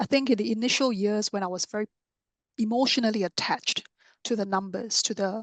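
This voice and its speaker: A soft-spoken woman talks at a fairly high pitch. The sound is dry and close with no echo, over a quiet background. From Singapore. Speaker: author and podcaster. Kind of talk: podcast interview.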